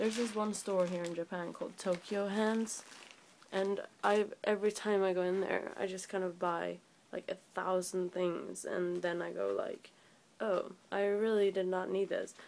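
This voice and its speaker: A woman speaks at a medium pitch and a moderate pace in a flat, monotone delivery. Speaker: vlogger. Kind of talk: casual talk to camera. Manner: sleepy. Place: home room. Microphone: phone near.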